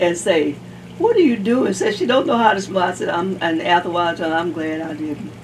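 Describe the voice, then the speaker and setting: Fairly quick female speech amid noticeable background noise. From US South. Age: 80s+. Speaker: oral history interviewee. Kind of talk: oral history interview.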